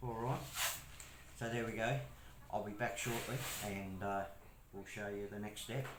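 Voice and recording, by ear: A man speaks at a fairly low pitch and a fairly slow pace, with fairly even intonation. Room echo is audible.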